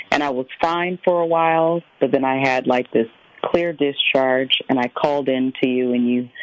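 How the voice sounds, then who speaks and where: Over noticeable background noise, a woman with an American accent talks at a moderate pace in a very deep, low pitch. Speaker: caller. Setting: phone call.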